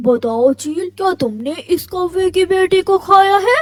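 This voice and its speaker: A cartoonish character voice pitched extremely high moves at a fairly slow pace. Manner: authoritative.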